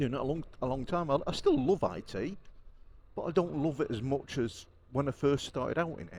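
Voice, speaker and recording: A man's fairly high pitch with vocal fry, ordinary pitch variation and big swings in loudness. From northern England, Warrington, Cheshire. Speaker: motorcycle vlogger. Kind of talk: casual vlog monologue. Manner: rambling, conversational with fillers.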